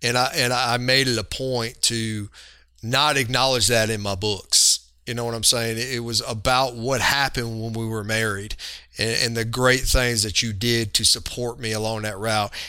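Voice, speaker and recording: A bright, sharp tone with monotone, flat intonation at a moderate pace. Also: man, medium pitch for a man. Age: 40s. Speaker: police chief. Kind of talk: interview.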